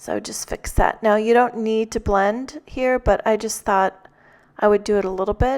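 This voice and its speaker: A woman with a fairly high pitch speaks calmly at a fairly slow pace, her intonation flat and monotone. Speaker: card-making tutorial creator. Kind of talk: tutorial. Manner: calm and mellow; hesitant, many fillers. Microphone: new microphone, popping p sounds.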